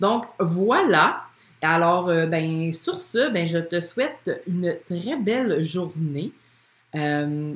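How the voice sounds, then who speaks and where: Lively intonation at a very slow pace, in a Quebec accent. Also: woman, fairly low pitch for a woman. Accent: Québécois French. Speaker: podcast host, business coach for women entrepreneurs. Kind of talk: casual monologue from a Facebook live. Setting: live video stream recorded at home. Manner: spontaneous, frequent laughter and filler words.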